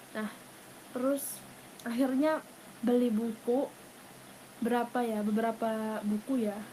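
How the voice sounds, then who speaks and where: Flat and monotone, a woman speaks at a high pitch. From Thailand. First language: Thai (speaking Indonesian). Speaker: university student and language tutor. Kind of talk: casual interview. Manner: hesitant, many fillers.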